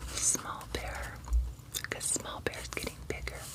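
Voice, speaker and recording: Noticeable background noise runs through the clip. Over it, a woman whispers. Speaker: storyteller reading to grandchildren. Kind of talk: children's picture book read-aloud. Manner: soft-spoken.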